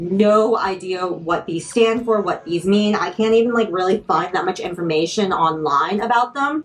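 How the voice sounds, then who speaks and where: There is noticeable background noise behind this woman. She talks at a moderate pace and a medium pitch, with lively intonation. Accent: American. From Washington DC region. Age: 30s. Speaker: sneaker content creator. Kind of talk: product unboxing talk to camera.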